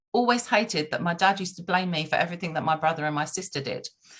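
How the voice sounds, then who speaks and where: The woman speaks very fast at a medium pitch, with ordinary pitch variation. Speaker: relationship coach. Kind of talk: casual chat. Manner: loud.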